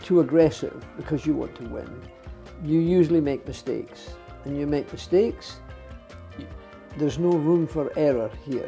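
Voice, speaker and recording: A man speaks with a Scottish accent at a moderate pace. Music plays in the background. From Scotland. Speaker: retired racing driver. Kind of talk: interview answer.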